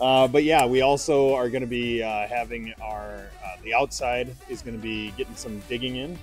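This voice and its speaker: A man's voice with big swings in loudness, dry sound with no echo, and faint music in the background. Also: moderate pace. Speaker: nonprofit project host. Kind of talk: casual vlog chat. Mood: joking, upbeat. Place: hall. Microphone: handheld.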